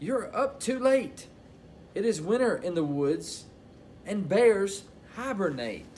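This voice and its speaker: A man puts on a squeaky character voice, high in pitch, at a fairly slow pace. Long, frequent pauses break it up, and clear background noise is present. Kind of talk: children's story read-aloud. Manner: fretful, worried. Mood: calm, gentle bedtime tone.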